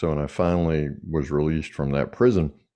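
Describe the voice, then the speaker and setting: A man with a Southern US accent speaks in a very deep, low pitch. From US South. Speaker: executive coach and author. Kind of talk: podcast interview. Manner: casual, hesitant fillers.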